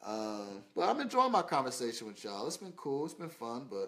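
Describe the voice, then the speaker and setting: The man's speech moves at a moderate pace. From Indianapolis, Indiana (US Midwest). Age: 20s. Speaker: model and social media personality; live streamer. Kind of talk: casual livestream Q&A. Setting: Facebook live stream. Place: home room. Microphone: phone near.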